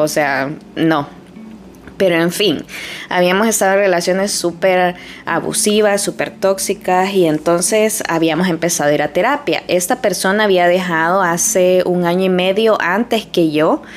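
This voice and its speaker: A woman with a medium pitch and ordinary pitch variation speaks at a fairly slow pace, her loudness very even, with noticeable background noise. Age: 30s. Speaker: podcaster. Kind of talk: personal monologue. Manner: casual.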